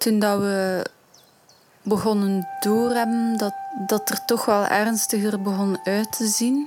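Speaking very slowly with a Flemish accent and fairly even intonation, a woman is heard over noticeable background noise. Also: medium pitch for a woman. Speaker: singer in a band. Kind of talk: interview answers.

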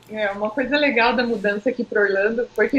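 Noticeable background noise runs through the clip. The speaker talks at a fairly quick pace. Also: woman. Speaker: marketing professional. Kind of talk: casual interview chat.

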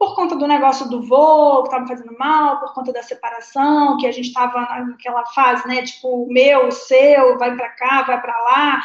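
Speaking in a Carioca accent, a woman uses a high pitch at a fairly slow pace. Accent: carioca Brazilian Portuguese. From Rio de Janeiro, Brazil (Leme). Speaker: guest telling her aviation life story, co-creator of an aviation channel. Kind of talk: interview on a live stream. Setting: online live stream with chat.

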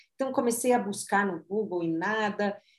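This woman has an ordinary speaking voice and ordinary pitch variation. She talks at a moderate pace. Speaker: marketing consultant and author. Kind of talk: interview, personal story.

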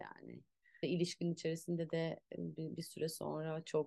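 With a dark, mellow tone, a woman talks in a very deep, low voice. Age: 40s. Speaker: actress and movement teacher. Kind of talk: casual chat. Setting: at home.

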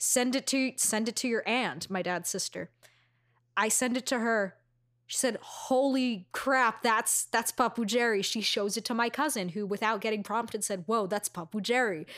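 Speaking in an American accent, a woman with a plain, everyday voice and fairly high pitch keeps a moderate pace and ordinary pitch variation, in a very clean recording with a silent background. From Astoria, Queens, New York City. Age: 20s. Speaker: podcast co-host. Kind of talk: casual chat.

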